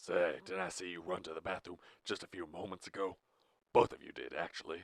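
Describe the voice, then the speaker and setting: In a dry, close sound with no echo, a man uses a put-on character voice, very deep, low and raspy, at a fairly quick pace. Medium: read story. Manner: stern, austere, menacing.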